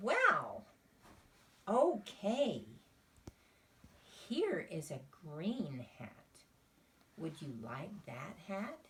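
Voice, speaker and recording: Using a put-on character voice, a female-sounding speaker at a medium pitch talks at a very slow pace with long, frequent pauses. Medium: read story.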